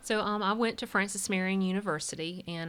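A woman with a Southern US accent at a fairly quick pace. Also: very clean recording, silent background. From US South, South Carolina. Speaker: church staff member. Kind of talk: testimony.

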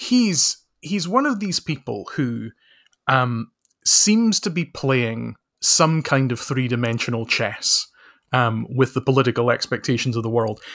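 In a Scottish accent, a man speaks at a fairly slow pace with lively intonation, the sound dry and close with no echo. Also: medium pitch for a man, very clean recording, silent background. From Scotland. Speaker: author and social researcher. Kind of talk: casual chat.

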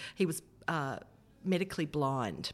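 In an Australian accent, a woman talks at a fairly slow pace with a very deep, low pitch. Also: very clean recording, silent background. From Australia, Hunter region (Kurri Kurri, NSW). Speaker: federal politician, former radio presenter. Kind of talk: interview.

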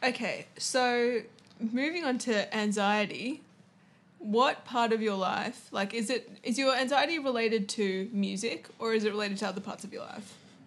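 A woman with an Australian accent at a moderate pace, with ordinary pitch variation. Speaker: podcast host. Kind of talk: solo podcast intro; casual interview chat.

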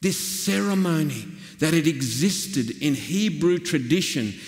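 With audible room echo, a man in a rural Australian accent talks at a very slow pace, his high pitch swinging very widely. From Australia, northwestern New South Wales. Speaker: pastor. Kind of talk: sermon.

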